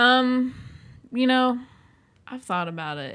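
With a normal speaking voice, a woman talks at a fairly slow pace using lively intonation. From small town, US. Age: 20s. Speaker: podcast guest sharing coming-out story. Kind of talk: personal testimony in casual chat.

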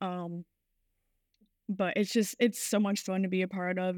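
A woman speaks at a fairly quick pace in a medium pitch with monotone, flat intonation. The recording is very clean with a silent background, and the sound is dry and close with no echo. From Rhode Island, US. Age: 20s. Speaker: baseball coach. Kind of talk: interview.

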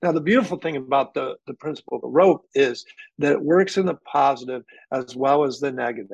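At a fairly quick pace, a man speaks in a fairly high pitch with ordinary pitch variation, the sound dry and close with no echo. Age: 50s. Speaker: pastor. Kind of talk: interview about faith and forgiveness. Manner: animated.

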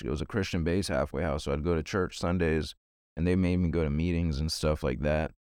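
Against a quiet background, a man with an American accent speaks in a very deep, low voice. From Virginia, US. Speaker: evangelist and peer recovery specialist. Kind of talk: testimony.

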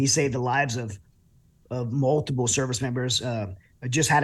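A man with an American accent speaks at a very fast pace in a medium pitch. His voice is somewhat breathy, with fairly even intonation. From Louisiana. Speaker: military veteran and author. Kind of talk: interview.

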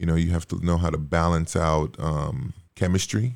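A man with a dark, mellow tone. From Caribbean, Montserrat. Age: 30s. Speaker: professional basketball player. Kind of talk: casual chat. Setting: studio.

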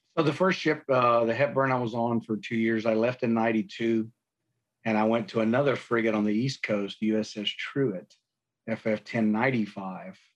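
The speaker talks at a fairly slow pace with a South Texas accent and ordinary pitch variation. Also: man, medium pitch for a man. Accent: South Texas American. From South Texas, San Antonio. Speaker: Navy veteran and coffee entrepreneur. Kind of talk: casual interview chat.

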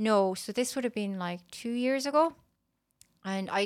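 A woman speaks with an Irish accent and lively intonation on a very clean recording with a silent background. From Ireland. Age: 30s. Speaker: podcast guest. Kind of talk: casual chat.

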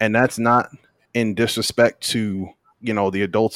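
A man with an unremarkable speaking voice at medium pitch, fairly even intonation and a moderate pace, in a dry, close sound with no echo on a very clean recording with a silent background. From US, immigrant family. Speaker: podcast host. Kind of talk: casual chat.

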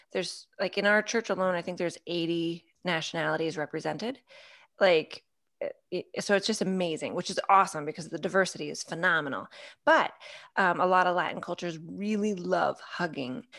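This is an ordinary speaking voice, delivered at a fairly quick pace. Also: woman, fairly low pitch for a woman, ordinary pitch variation. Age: 40s. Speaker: women's ministry mentor. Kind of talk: casual chat. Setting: video call.

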